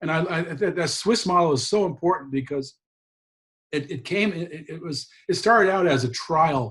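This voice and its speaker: Somewhat breathy delivery at a moderate pace, with ordinary pitch variation. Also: man. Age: 60s. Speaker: drug policy advocate and attorney. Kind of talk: interview. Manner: animated.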